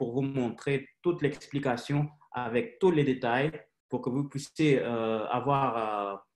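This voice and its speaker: The speech is very slow, with a non-native accent. The intonation stays fairly even. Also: man. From Haiti, raised mostly in Russia. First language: Russian (speaking French). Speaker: company director presenting business opportunity. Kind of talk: sales presentation webinar. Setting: online webinar. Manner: halting, many hesitations.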